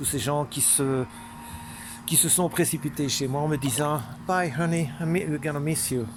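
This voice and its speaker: Moderate pace and ordinary pitch variation. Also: man. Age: 50s. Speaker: vlogger. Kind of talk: casual monologue vlog. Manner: halting.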